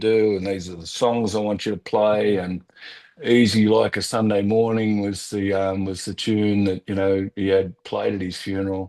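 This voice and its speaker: A man with an Australian accent speaks at a moderate pace in a fairly low pitch. His intonation is monotone and flat. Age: 60s. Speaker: real estate business owner, cancer survivor. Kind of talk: podcast interview. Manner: halting.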